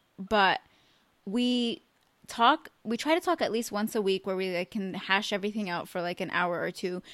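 A woman speaks in a plain, everyday voice at a moderate pace, her pitch in the medium range with ordinary variation. The sound is dry and close, with no echo. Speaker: podcast host. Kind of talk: casual chat. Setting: remote call.

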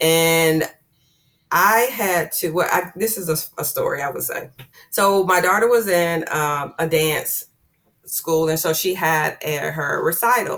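An unremarkable speaking voice belongs to a woman with fairly low pitch. She keeps a fairly slow pace and ordinary pitch variation. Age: 50s. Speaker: hairstylist and beauty educator. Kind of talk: interview.

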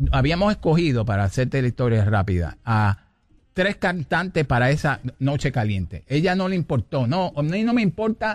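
A man with a Puerto Rican accent speaks at a medium pitch with vocal fry. His pitch swings very widely at a moderate pace. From Puerto Rico. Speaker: salsa pianist and arranger. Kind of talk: interview.

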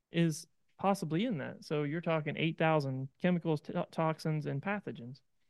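A man with an American accent speaks at a moderate pace and a fairly high pitch with ordinary pitch variation, an unremarkable speaking voice. The background is quiet, and the sound is dry and close with no echo. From East Central Ohio. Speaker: farmer. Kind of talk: interview. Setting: on-the-road studio at a conference.

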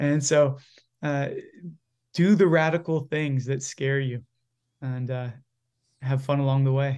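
A man's fairly high voice in a Virginia accent, fairly slow and fairly even in intonation, broken by long, frequent pauses. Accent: American, Virginia. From Virginia, US. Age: 20s. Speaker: campus minister and church leader. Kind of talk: interview conversation.

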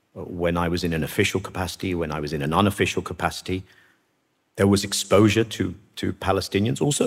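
Talking very fast, a man speaks in a British accent. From Britain. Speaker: former peace negotiator. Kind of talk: interview. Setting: studio.

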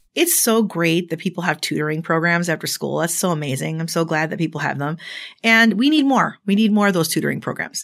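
In a very clean recording with a silent background, a woman with an American accent talks very fast in an animated tone, at a fairly low pitch with ordinary variation. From Chicago. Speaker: pastor and activist. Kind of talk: interview conversation.

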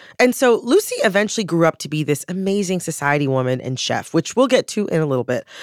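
Over noticeable background noise, a woman with a fairly low pitch talks at a very fast pace with hardly any pauses and very wide pitch swings, in a dry, close sound with no echo. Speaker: podcast co-host. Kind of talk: storytelling.

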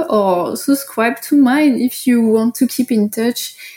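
In a French accent, a woman speaks at a very slow pace with a fairly high pitch and ordinary pitch variation. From France, Paris. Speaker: fine art photographer. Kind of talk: interview.

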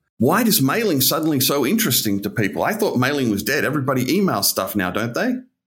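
A somewhat breathy man races along at a very fast pace with hardly any pauses, very wide pitch swings and very even loudness. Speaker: podcast host. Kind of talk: interview.

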